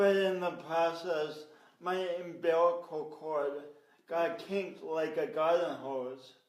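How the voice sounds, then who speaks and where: Amid audible room echo, a man with a high pitch talks very slowly, his intonation fairly even. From US Midwest, Sioux Falls, South Dakota. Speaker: motivational speaker and coach. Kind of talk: interview storytelling. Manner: halting.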